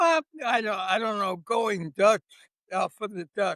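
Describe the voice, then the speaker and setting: A man speaks with a high pitch and a bright, sharp tone. The sound is dry and close, with no echo. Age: 90s. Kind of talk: interview answer.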